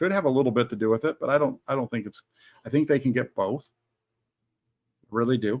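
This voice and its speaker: A man at medium pitch talks at a very fast pace broken by long, frequent pauses, the sound dry and close with no echo. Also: ordinary pitch variation. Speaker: sports channel host. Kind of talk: live stream chat with viewer comments. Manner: loud.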